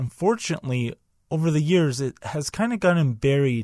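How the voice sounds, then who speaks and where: A man with a normal speaking voice and a fairly high pitch talks at a moderate pace with lively intonation, recorded very cleanly against a silent background with a dry, close sound and no echo. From Canada. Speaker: wrestling podcast host. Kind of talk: podcast monologue with match play-by-play.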